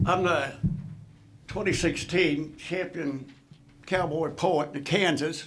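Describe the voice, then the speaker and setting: In an American accent, a man with fairly high pitch and fairly even intonation talks at a very slow pace with long, frequent pauses, and audible room echo. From Indiana, near Chicago. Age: 80s+. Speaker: retired basketball coach, inductee. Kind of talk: acceptance speech.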